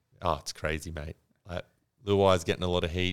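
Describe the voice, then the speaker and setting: Over a silent background in a very clean recording, a man with a very deep, low pitch talks at a very fast pace in a monotone, flat intonation. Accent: Australian. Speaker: podcast co-host. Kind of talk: casual chat.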